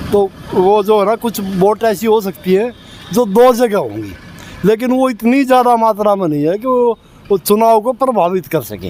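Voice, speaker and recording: Noticeable background noise sits under a man's voice. He speaks at a high pitch with ordinary variation. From Haryana. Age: 60s. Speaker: local resident interviewee. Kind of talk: street interview.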